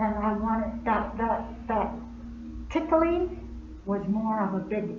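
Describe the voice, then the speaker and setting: A woman with a Southwestern US accent and a fairly high pitch speaks at a very slow pace while music plays in the background. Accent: Navajo-accented English. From Navajo, Arizona. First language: Navajo. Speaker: poet and storyteller. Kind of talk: personal storytelling to live audience.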